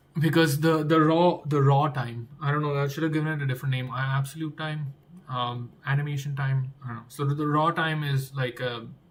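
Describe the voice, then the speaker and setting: Fairly high-pitched man's speech, monotone and flat, at a fairly quick pace with hardly any pauses, over noticeable background noise. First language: not English. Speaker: game developer streamer. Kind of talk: live coding stream. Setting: live stream. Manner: thinking aloud, repetitive.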